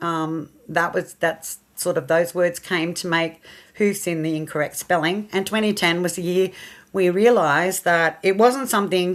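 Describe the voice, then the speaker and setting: A woman with an Australian accent talks at a moderate pace in a fairly low pitch, her intonation fairly even. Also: very clean recording, silent background. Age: 60s. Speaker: horse rescue charity founder. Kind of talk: radio interview.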